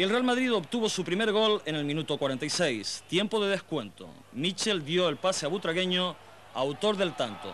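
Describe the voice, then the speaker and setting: With lively intonation and very even loudness, a man speaks at a moderate pace in a high pitch. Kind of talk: 1990 football highlights narration. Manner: formal, brisk, measured newsreel-style delivery.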